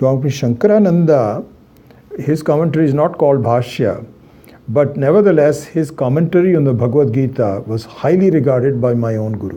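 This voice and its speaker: Lively intonation from a man amid audible room echo. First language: Hindi. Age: 60s. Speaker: Vedanta teacher. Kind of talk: lecture. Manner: halting, many fillers.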